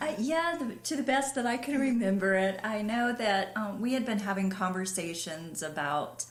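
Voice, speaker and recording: A woman with a Southern US accent speaks at a moderate pace with hardly any pauses, her fairly high pitch carried by lively intonation. Her loudness stays very even, and audible room echo surrounds her. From US South, western North Carolina. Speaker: pastor. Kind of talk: interview conversation. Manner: quiet, soft-spoken.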